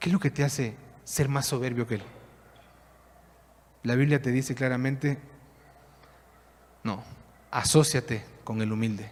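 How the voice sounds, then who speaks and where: A somewhat breathy man speaks at a fairly slow pace with long, frequent pauses. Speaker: pastor. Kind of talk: sermon.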